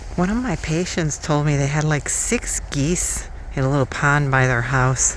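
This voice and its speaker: A woman at a moderate pace and very even loudness, with noticeable background noise and audible room echo. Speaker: vlogger. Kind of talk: casual vlog chat while walking. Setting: outdoors, walking in a field. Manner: slightly slurred articulation.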